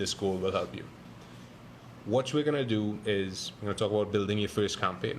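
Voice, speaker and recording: Over light background noise, a man speaks at a fairly low pitch with ordinary pitch variation. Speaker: digital marketing podcast host. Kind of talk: live tutorial. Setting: livestream. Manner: fast. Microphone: phone near.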